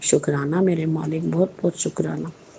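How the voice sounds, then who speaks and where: A woman's very deep, low voice, monotone and flat, at a fairly slow pace, with noticeable background noise. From Punjab, India (Jalandhar). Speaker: religious devotee. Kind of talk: testimony.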